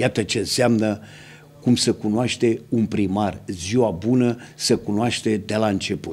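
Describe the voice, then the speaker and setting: Speaking at a fairly slow pace, a man with fairly low pitch uses fairly even intonation and shows vocal fry. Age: 70s. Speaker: local TV host. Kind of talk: TV interview. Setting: TV studio. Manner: formal. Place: studio. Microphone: studio mic.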